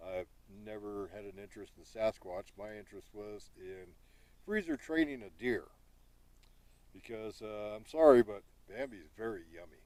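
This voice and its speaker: A man talks at a fairly slow pace in a fairly low pitch. His pitch varies in an ordinary way. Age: 60s. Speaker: Sasquatch researcher and hunter. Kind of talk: casual outdoor vlog monologue. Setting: outdoors in a field by the woods. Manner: hesitant, with many fillers.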